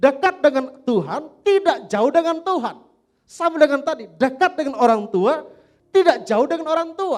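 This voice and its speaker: A man's extremely high-pitched voice with lively intonation, at a fairly slow pace. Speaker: pastor. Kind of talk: sermon.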